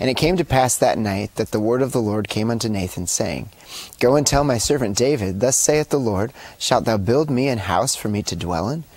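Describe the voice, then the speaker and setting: A man at a moderate pace, lively in intonation, with a dry sound and no echo. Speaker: co-host. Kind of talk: reading scripture aloud. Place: studio. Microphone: lapel.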